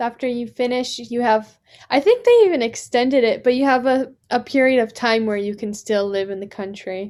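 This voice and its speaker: This woman has an unremarkable speaking voice with an American accent and fairly even intonation. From California, USA. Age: young. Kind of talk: casual podcast conversation.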